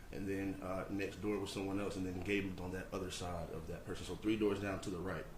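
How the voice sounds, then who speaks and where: Amid noticeable background noise and audible room echo, a man speaks. His pace is very fast and his pitch fairly low. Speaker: trial witness. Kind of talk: testimony.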